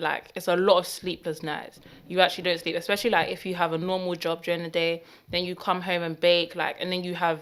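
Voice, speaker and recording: In a London accent, a woman with a fairly low pitch speaks at a fairly quick pace with monotone, flat intonation. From northwest London. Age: 20s. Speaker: baker. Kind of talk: casual chat.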